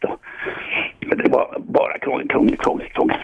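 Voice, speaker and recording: A man's voice over noticeable background noise. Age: 70s. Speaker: radio phone-in caller. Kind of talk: phone-in conversation.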